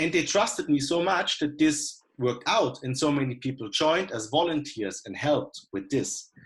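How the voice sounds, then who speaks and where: Speaking at a moderate pace with hardly any pauses, a man with a German accent uses a fairly high, somewhat breathy voice and lively intonation. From Germany. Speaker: coliving founder. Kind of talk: panel discussion. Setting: video call.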